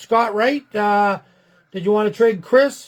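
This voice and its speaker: A man speaks loudly at a moderate pace, his voice pitched high. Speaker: sports card break host. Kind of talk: live stream card break chat.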